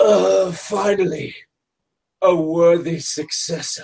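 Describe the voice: A raspy put-on character voice sits at a middle pitch. It moves at a very slow pace.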